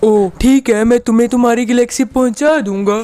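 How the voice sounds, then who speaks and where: A man's cartoonish character voice, extremely high in pitch, at a moderate pace. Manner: greedy, blunt.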